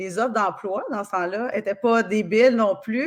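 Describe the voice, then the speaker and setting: A woman's medium-pitched voice against a quiet background. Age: 40s. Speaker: kinesiologist and osteopath. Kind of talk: podcast interview. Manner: casual, many fillers.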